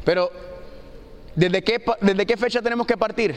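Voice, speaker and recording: Over noticeable background noise, a man speaks in an animated tone at a high pitch. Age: 40s. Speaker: preacher. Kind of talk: sermon.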